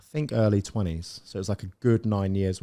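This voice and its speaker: With a West Country accent, a man speaks at a fairly low pitch in a dark, mellow tone, his pitch varying in an ordinary way, on a very clean recording with a silent background. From South West England, Plymouth. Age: 30s. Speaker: property business owner. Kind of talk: podcast interview. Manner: casual, halting.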